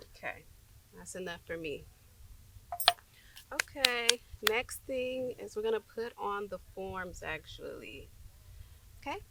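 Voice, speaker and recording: With noticeable background noise behind her, a woman with a fairly high pitch speaks at a fairly slow pace with lively intonation, big swings in loudness, and long, frequent pauses. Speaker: nail tech. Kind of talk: tutorial. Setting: outdoors. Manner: casual.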